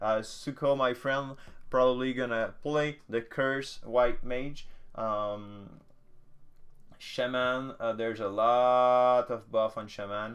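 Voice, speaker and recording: His pace is very slow. This man keeps a fairly even intonation. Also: medium pitch for a man. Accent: French. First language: French. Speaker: gaming content creator. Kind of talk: casual patch notes commentary. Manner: hesitant, many filler sounds; casual.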